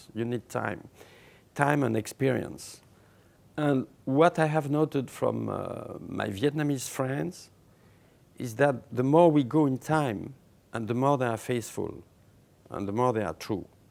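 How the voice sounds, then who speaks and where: Speaking with a French accent, a man uses a medium pitch and ordinary pitch variation. His pace is fairly slow, with long, frequent pauses. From France. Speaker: writer. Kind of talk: interview answer.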